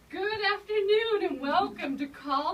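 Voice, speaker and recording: A woman's raised, projected voice with lively intonation, over noticeable background noise. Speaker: radio show host and elder care manager. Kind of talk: live radio show hosting.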